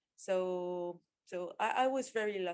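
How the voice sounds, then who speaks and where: Speaking with a French accent, a woman holds a medium pitch. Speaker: agile coach. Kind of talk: interview. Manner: halting.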